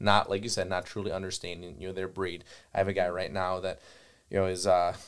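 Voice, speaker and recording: A man with a Wisconsin accent and very deep, low pitch, at a very fast pace with monotone, flat intonation, on a very clean recording with a silent background. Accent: Upper Midwest (Wisconsin) US. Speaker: gun dog trainer and kennel owner. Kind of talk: podcast conversation. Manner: filler-heavy, repetitive phrasing.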